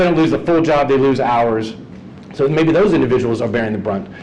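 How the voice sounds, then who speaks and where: A man with an American accent speaks at a fairly high pitch with lively intonation. There is noticeable background noise and audible room echo. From US South (Georgia). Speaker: economist panelist. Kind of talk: panel presentation. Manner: fast.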